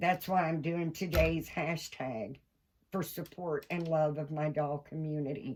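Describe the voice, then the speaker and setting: In a Kentucky accent, a woman speaks at a fairly slow pace with a very deep, low pitch. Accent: Southern US (Kentucky). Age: 60s. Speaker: doll collector vlogger. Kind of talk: casual vlog monologue. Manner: animated.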